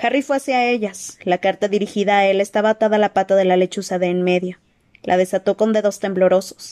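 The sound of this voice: The reading voice is unforced. Intonation holds fairly level throughout.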